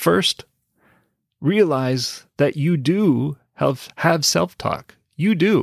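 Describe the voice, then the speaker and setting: On a very clean recording with a silent background and a dry, close sound with no echo, a man with fairly high pitch speaks at a very slow pace. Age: 40s. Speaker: English teacher and podcast host. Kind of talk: solo podcast monologue. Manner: deliberate, repeats key points slowly.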